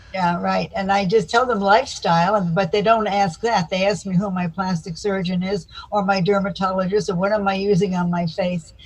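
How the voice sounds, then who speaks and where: A woman with an American accent speaks at a medium pitch and a fairly quick pace, with hardly any pauses and fairly even intonation. Noticeable background noise runs behind her. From US South, Florida (Miami Beach). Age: 80s+. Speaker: psychotherapist. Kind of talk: interview.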